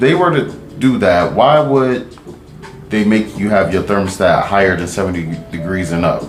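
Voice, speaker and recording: A man with a fairly low pitch talks at a moderate pace with very wide pitch swings. Music plays in the background, and room echo is audible. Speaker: podcast co-host. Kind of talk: casual chat.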